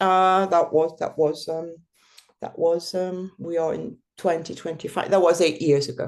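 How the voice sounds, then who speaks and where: Fairly even intonation at a fairly slow pace. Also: woman, fairly low pitch for a woman. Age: 60s. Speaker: mountain bike guide. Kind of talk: interview testimony. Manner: halting, many fillers.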